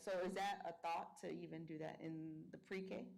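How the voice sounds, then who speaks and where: Audible room echo surrounds this woman. Her voice is fairly low in pitch, with fairly even intonation. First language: Spanish. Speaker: school board member. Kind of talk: board meeting questions. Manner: halting.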